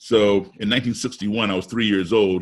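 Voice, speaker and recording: An ordinary speaking voice from a man with an American accent, fairly low in pitch, fairly quick in pace, with fairly even intonation. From US, raised abroad. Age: 60s. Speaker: musician. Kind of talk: webinar talk.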